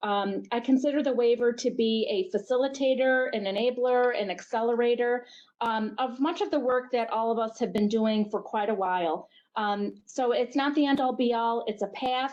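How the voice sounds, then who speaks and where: A woman has a plain, everyday voice and speaks at a moderate pace. Her loudness stays very even and her pitch varies in an ordinary way. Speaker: healthcare network executive. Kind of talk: webinar presentation.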